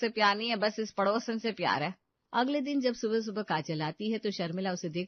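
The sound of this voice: In an unforced reading voice with ordinary pitch variation, someone reads against a quiet background.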